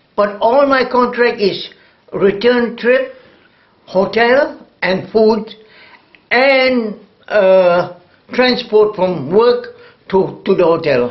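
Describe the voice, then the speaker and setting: A man's high-pitched voice at a very slow pace, with very even loudness and long, frequent pauses. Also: ordinary pitch variation. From Singapore. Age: 80s+. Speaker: retired jazz drummer. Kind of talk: oral history interview. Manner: halting.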